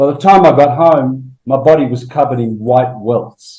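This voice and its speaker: A man with a dark, mellow tone and a somewhat breathy quality talks at a moderate pace. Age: 60s. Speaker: alternative health teacher giving a product testimonial. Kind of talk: casual interview testimony. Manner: halting.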